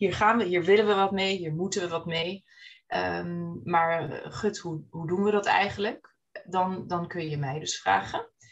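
A woman with a plain, everyday voice, fairly low in pitch, at a fairly slow pace with ordinary pitch variation. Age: 30s. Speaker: business owner. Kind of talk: interview.

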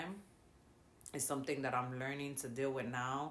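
Speaking in a very deep, low pitch, a woman is heard with audible room echo. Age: 30s. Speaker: domestic violence survivor. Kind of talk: testimony.

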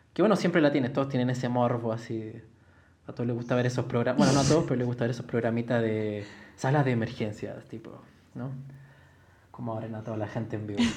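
At a very fast pace yet with long, frequent pauses, a man with a medium pitch and fairly even intonation speaks amid noticeable background noise and audible room echo. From Chile. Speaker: ceramicist. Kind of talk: casual chat.

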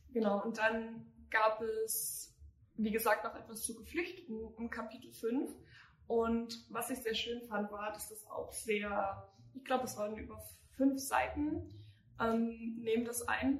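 Amid noticeable background noise and audible room echo, a woman with a fairly high pitch and ordinary pitch variation speaks at a very slow pace, with long, frequent pauses and big swings in loudness. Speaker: podcast host, youth political activist. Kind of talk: casual political discussion.

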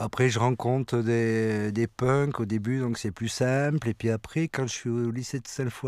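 In a plain, everyday voice, a man at medium pitch talks at a fairly slow pace with fairly even intonation and hardly any pauses, sounding dry and close with no echo. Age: 50s. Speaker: musician. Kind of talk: interview. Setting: studio.

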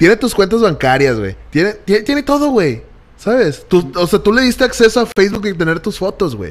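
A man's high voice moves in very wide pitch swings as he speaks fairly quickly. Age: 20s. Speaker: digital marketing creative. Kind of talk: casual chat. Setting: studio.

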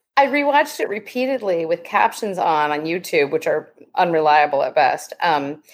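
With lively intonation and a plain, everyday voice, a woman speaks at a moderate pace. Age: 40s. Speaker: podcast guest, muppet fan by marriage. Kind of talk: casual chat.

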